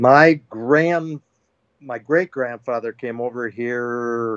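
An American-accented man speaks at a medium pitch. His pace is very slow, and the sound is dry and close with no echo. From Wisconsin, US Midwest. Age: 70s. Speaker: turkey hunter and author. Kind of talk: casual chat.

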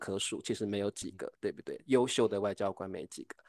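A man with a Taiwanese accent against a quiet background. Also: dry, close sound with no echo. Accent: Taiwanese Mandarin. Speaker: podcast host. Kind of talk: casual interview.

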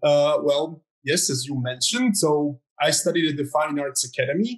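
At a moderate pace, a man talks in a fairly high, somewhat breathy voice with ordinary pitch variation. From Croatia, near Zagreb. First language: Croatian. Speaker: artist. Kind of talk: interview.

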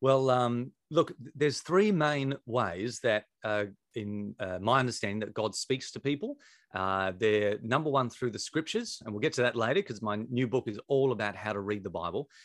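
With an Australian accent, a man speaks at a medium pitch with ordinary pitch variation in a dry, close sound with no echo. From South Australia. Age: 40s. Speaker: pastor and author. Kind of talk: interview. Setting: video call. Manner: fast talker.

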